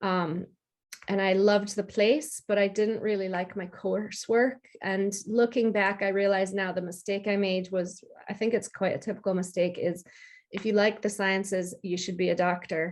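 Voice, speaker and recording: A woman with an American accent speaks at a moderate pace with a medium pitch and fairly even intonation, a plain, everyday voice. The background is quiet. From US, upstate New York. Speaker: freelance technology communicator. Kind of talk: interview.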